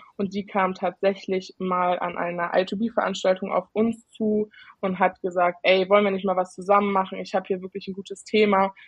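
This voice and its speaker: At a moderate pace, a woman speaks in a somewhat breathy, medium-pitched voice with flat, monotone intonation. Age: 20s. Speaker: IT consultant and student. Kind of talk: casual chat. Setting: video call.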